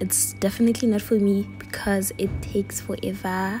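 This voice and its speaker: A woman at a moderate pace, music in the background. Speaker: vlogger. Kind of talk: casual vlog chat. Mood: relaxed, playful. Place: home room. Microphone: phone near.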